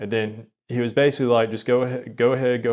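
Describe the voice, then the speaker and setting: A man's monotone, flat delivery at a moderate pace. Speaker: vlogger. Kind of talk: personal storytelling vlog. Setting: in a car. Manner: halting.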